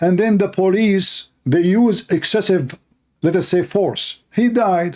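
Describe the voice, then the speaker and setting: With an Arabic accent, a man speaks very slowly at a high pitch in a dark, mellow tone. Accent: clear Arabic. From Middle East. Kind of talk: live stream commentary. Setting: live stream with Skype calls. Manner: animated.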